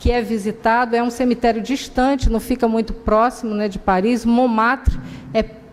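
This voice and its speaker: A woman talks at a moderate pace in a fairly high pitch, with noticeable background noise behind her. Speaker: spiritist lecturer. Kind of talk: lecture. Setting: public talk at a spiritist center.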